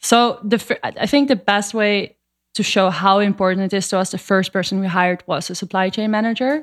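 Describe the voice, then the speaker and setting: With a Dutch accent, a woman talks at a fairly quick pace. Her pitch is medium, with ordinary variation. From Netherlands. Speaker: superfood company co-founder. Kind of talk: interview.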